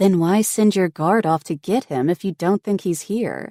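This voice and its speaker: In a very clean recording with a silent background, a put-on character voice growls at middle pitch and a moderate pace. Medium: read story.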